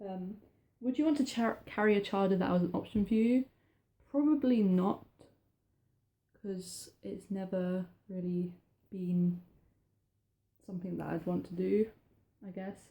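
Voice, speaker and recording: A woman's somewhat breathy, dark and mellow voice at medium pitch, fairly slow with long, frequent pauses and ordinary pitch variation. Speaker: vlogger. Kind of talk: personal vlog talk. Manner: halting.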